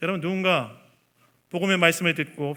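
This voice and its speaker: The voice belongs to a man. It is pitched high. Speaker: pastor. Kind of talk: sermon. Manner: fast.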